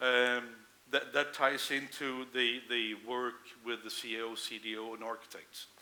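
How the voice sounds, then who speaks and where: With a monotone, flat intonation and a bright, sharp tone, a man speaks in big swings of loudness amid audible room echo. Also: medium pitch for a man. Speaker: conference speaker, integration manager. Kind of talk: conference Q&A.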